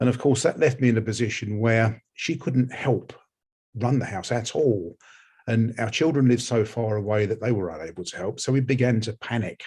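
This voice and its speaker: A somewhat breathy voice with an English accent, at a moderate pace. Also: man, medium pitch for a man, ordinary pitch variation. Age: 60s. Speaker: research participant, homeowner. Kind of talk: personal testimony. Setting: webinar. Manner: halting, repeats words.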